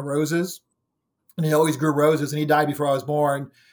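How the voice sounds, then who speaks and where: At a fairly quick pace, a man with an American accent talks in a fairly high pitch. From Ohio, US Midwest. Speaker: physician and paranormal investigator. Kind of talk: interview. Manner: halting, many fillers.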